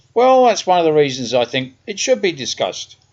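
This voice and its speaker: Lively intonation marks this man's speech in a South London accent. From South London, England. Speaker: podcaster. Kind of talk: personal monologue. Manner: conversational.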